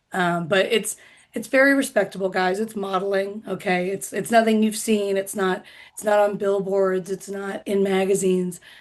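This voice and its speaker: A woman with an American accent talks at a moderate pace in a medium pitch and fairly even intonation. It is a normal speaking voice, heard over a quiet background. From US Midwest, Indiana. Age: 30s. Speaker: comedian. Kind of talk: stand-up.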